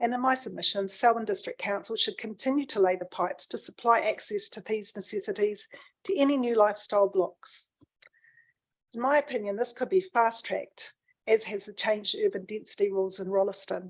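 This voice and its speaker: At a fairly quick pace, a woman with a New Zealand accent speaks in a fairly high voice. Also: ordinary pitch variation, big swings in loudness. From New Zealand, Canterbury. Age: 60s. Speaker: submitter at a council planning hearing. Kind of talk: formal submission reading. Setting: council hearing.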